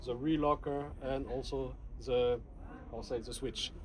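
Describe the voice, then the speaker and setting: Speaking with a French accent, a man keeps a moderate pace. Audible room echo and noticeable background noise are present. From France. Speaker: audio product presenter. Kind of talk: product demonstration. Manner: halting.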